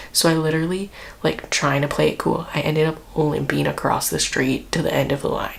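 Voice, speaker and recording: A soft-spoken voice talks at a fairly quick pace. Noticeable background noise sits behind it. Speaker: IT department worker. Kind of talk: casual storytelling to camera.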